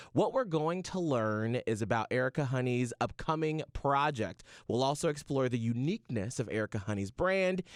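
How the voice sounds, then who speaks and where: A man with a normal speaking voice talks at a moderate pace and medium pitch, with lively intonation, very even loudness and hardly any pauses, in a dry, close sound with no echo against a quiet background. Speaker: radio personality. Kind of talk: interview host.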